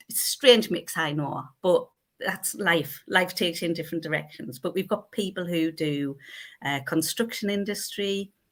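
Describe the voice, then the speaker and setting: A woman with a fairly low pitch speaks at a moderate pace with ordinary pitch variation, in a very clean recording with a silent background. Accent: North East England. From North East England. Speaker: accountant. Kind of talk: interview answer. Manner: bubbly, effervescent.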